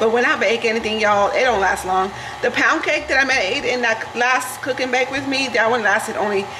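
Fairly quick female speech against noticeable background noise. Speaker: home cook vlogger. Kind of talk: casual vlog chat. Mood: relaxed, chatty. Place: kitchen. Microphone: camera far.

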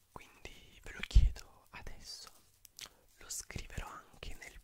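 A man is whispering. He goes at a very slow pace. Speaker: ASMR creator. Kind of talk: ASMR whispering, relaxing talk to camera. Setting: studio, close microphone. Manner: whispered, soft-spoken, slow. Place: home room. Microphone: studio mic.

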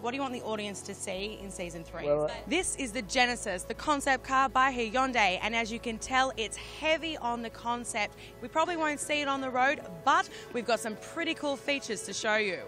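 A woman speaks at a fairly quick pace in a high pitch, with an upbeat tone and lively intonation, her voice dry with no echo over clear music in the background. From Australia. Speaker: broadcast journalist. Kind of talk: TV entertainment report to camera.

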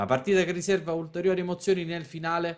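A man's fairly high voice moves along at a fairly quick pace. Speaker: sports commentator. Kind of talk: live-style sports commentary. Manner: fast, animated, rhythmic play-by-play delivery.

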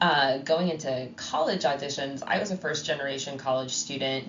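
A woman is speaking here. Her voice carries audible room echo over noticeable background noise. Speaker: podcast co-host and bassoon teacher. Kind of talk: casual chat.

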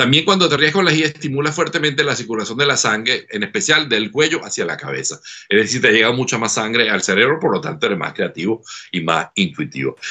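A man speaks at a very fast pace with vocal fry and very wide pitch swings over a quiet background. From Venezuela. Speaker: laughter therapist; guest. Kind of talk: interview. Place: home room. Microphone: webcam.

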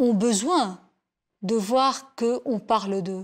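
Fairly high pitch from a woman, ordinary pitch variation and a quiet background. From Lebanon. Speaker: journalist, war reporter. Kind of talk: interview testimony. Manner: hesitant, many fillers. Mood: calm, reflective. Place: home room. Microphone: lapel.

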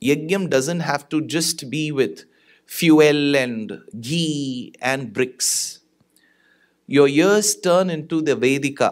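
The man's pace is very slow, and his pitch variation is ordinary. Nothing but quiet surrounds him. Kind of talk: religious discourse. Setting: stage with audience. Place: stage. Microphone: studio mic.

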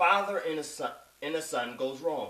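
A man speaks with ordinary pitch variation. Room echo is audible around him. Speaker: spoken word poet. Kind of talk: spoken introduction explaining the poem. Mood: earnest, moral message. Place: home room. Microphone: webcam.

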